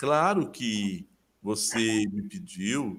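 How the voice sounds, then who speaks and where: Speaking at a medium pitch, a man lets his voice swing very widely in pitch. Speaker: literature professor. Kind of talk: interview. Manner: slow.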